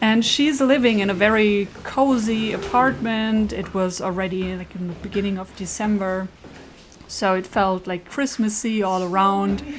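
With a German accent, a woman speaks against noticeable background noise. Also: medium pitch for a woman, ordinary pitch variation, moderate pace. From Germany. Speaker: podcast host. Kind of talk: scripted narration.

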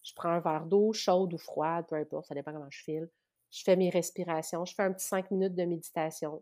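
A woman with a Quebec accent speaks fairly quickly in a fairly low, monotone, flat voice. Her loudness swings widely, and the recording is very clean with a silent background. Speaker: spiritual practitioner. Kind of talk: casual interview.

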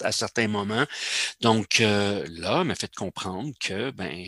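A man speaks slowly in a fairly low pitch with a Quebec accent and a bright, sharp tone. The sound is dry and close, with no echo. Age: 60s. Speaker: semi-retired amateur cellist. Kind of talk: casual interview.

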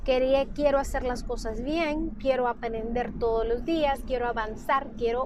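Over noticeable background noise and audible room echo, a high-voiced woman speaks at a fairly slow pace. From Honduras. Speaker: physician and nutrition consultant. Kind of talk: solo podcast monologue. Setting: recorded on a mobile phone. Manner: halting, many fillers and repetitions. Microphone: phone mic.

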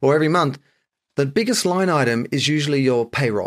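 On a very clean recording with a silent background, a man with an Australian accent speaks with very wide pitch swings. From Sydney, Australia. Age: 50s. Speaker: author and brand consultant. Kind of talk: casual interview chat.

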